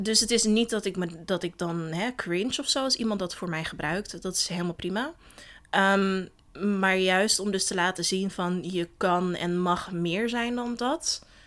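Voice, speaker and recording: Her delivery is fairly slow, in a normal speaking voice. The woman's pitch is medium, with ordinary pitch variation. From Netherlands, Den Helder. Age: 20s. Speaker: founder of a feminist platform. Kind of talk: casual interview.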